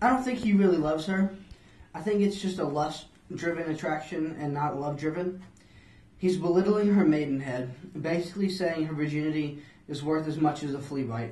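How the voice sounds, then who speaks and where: Man's voice at a fairly quick pace with ordinary pitch variation and audible room echo. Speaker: student playing a flea in a mock interview. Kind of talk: interview answer. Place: office.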